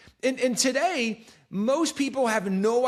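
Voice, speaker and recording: A man's tone is animated, and noticeable background noise can be heard behind him. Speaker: talk show host. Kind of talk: casual interview conversation. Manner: fast.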